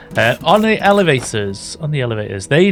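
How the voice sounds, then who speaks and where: Music sits in the background as a man talks. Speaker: gaming YouTuber. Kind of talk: gameplay commentary. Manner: casual, rambling with self-corrections.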